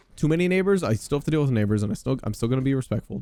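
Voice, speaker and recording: An animated man with lively intonation, music playing in the background. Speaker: podcaster playing a video game. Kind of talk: casual gameplay chat. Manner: loud.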